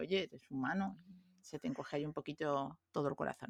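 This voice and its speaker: The sound is dry and close, with no echo. A woman speaks with a very deep, low pitch and ordinary pitch variation. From Peru and Venezuela (Lima, Caracas). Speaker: conference interpreter. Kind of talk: casual chat.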